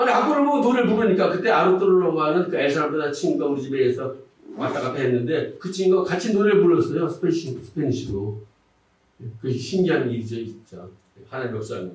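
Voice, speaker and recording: A man's high-pitched voice at a very fast pace, with very wide pitch swings and audible room echo. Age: 60s. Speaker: pastor. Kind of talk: testimony.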